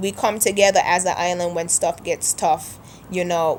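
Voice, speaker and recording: Her intonation monotone and flat, a woman speaks at a fairly slow pace. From St Kitts (Sandy Point, Frigate Bay area). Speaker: video blogger. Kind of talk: casual vlog monologue.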